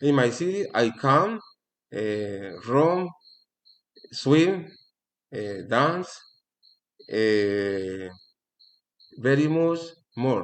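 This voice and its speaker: Speaking at a very slow pace with long, frequent pauses, a man uses a medium pitch that swings very widely. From Colombia, Valle del Cauca. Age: 40s. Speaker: language student. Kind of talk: language class presentation. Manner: halting, many fillers.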